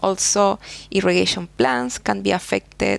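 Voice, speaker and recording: A woman speaks in a Spanish accent. Her pace is moderate. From Chile. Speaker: soil scientist, professor. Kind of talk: interview. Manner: halting.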